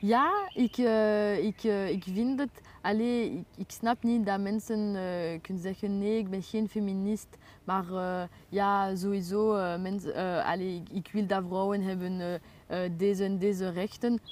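On a very clean recording with a silent background, a woman talks at a very slow pace with fairly even intonation. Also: medium pitch for a woman. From Brussels, Belgium. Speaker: writer. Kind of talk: interview. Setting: outdoors. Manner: halting.

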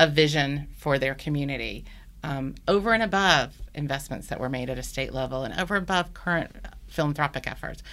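With an American accent, a woman speaks at a moderate pace in a bright, sharp tone with ordinary pitch variation. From US South, Birmingham, Alabama. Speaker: executive director of an early education advocacy group. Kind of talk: interview.

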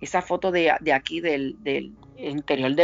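This woman has a very deep, low voice and ordinary pitch variation. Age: 50s. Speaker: forensic investigator. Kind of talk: interview. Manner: halting, many fillers.

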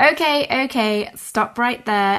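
Against a quiet background, a woman with a British accent speaks with ordinary pitch variation. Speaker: podcast host. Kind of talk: interview.

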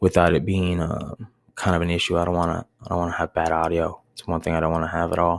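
Very fast speech in an American accent on a very clean recording with a silent background. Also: man. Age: 30s. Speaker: podcast host, bar manager. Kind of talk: solo monologue podcast. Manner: rambling, filler-heavy.

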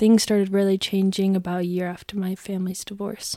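A woman with an American accent has a normal speaking voice. She talks at a moderate pace and a medium pitch. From US Southwest, Arizona (Gilbert). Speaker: student. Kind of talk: interview.

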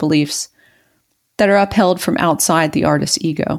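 Recorded very clean against a silent background, with a dry, close sound with no echo, a woman in an American accent uses a plain, everyday voice at a moderate pace with ordinary pitch variation. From rural US, Mason-Dixon line near West Virginia. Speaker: woodworker and podcast co-host. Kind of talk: reading aloud own essay.

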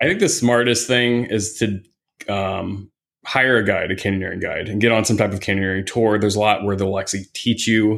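The recording is very clean, with a silent background, and a man speaks in an ordinary speaking voice with an American accent. His pitch is fairly low, his intonation fairly even, and his pace moderate. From US Midwest, Indiana. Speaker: hiking guide and photographer. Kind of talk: casual chat.

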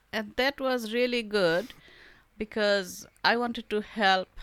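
In a very clean recording with a silent background and a dry, close sound with no echo, a woman with a Bengali accent speaks at a moderate pace. Her fairly high voice has lively intonation. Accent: Indian English, Bengali. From India, Bengal. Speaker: artist and author. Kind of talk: casual interview.

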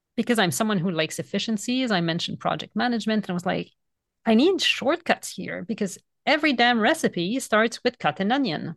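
A woman with a French Canadian accent, fairly high-pitched, in dry, close sound with no echo and a quiet background. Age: 40s. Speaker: author and vegan food educator. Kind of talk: casual interview conversation.

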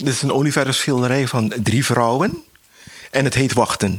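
A man's normal speaking voice at medium pitch, moderate pace and ordinary pitch variation. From Suriname. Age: 60s. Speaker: painter. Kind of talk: interview. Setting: artist's studio.

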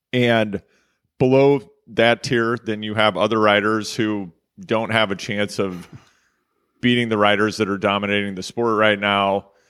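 At a fairly slow pace, a man with a fairly low pitch speaks with long, frequent pauses. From US Midwest, Kansas City, Missouri. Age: 40s. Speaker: cycling journalist and podcast host. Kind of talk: casual interview. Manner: animated.

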